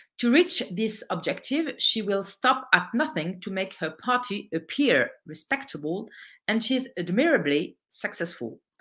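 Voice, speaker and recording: Against a quiet background, a woman speaks with a French accent at a fairly slow pace. Her pitch swings very widely. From France, of Algerian descent. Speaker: political activist and author. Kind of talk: lecture. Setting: online event. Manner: halting. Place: home room. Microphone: webcam.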